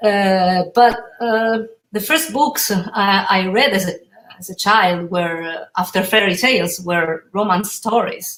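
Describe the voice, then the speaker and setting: A woman with an Italian accent, medium in pitch with ordinary pitch variation, a very slow pace and big swings in loudness. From Italy. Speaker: author. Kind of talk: interview. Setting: pre-recorded remote interview. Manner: halting.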